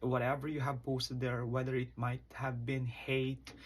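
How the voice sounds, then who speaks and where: A man's somewhat breathy, medium-pitched voice on a very clean recording with a silent background. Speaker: college instructor. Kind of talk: lecture.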